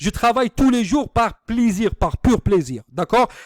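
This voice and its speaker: Recorded very cleanly against a silent background, dry and close with no echo, a man speaks in an Algerian accent with ordinary pitch variation. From Algeria, Algiers suburbs. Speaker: online business marketer. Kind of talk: sales pitch. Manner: halting, many hesitations.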